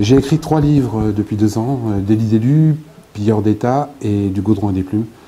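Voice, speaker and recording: A man with a fairly low voice talks at a moderate pace over noticeable background noise. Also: ordinary pitch variation. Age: 60s. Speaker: author and former local councillor. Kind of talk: interview.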